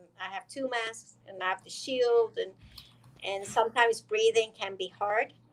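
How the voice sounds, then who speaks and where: Speaking at a fairly slow pace, a woman with an Iranian accent keeps her fairly high-pitched voice in fairly even intonation. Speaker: dentist. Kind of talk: interview.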